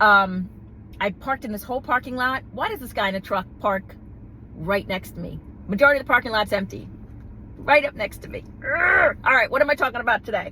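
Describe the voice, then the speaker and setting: A woman with an American accent speaks at a fairly quick pace, high-pitched, with lively intonation. Noticeable background noise is present. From New York City. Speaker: gossip vlogger. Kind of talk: casual vlog commentary. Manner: animated; halting.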